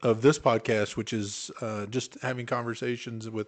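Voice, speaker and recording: A man speaks with an Oklahoma accent in a medium pitch. His intonation is fairly even and his pace moderate. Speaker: podcast co-host. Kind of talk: casual chat.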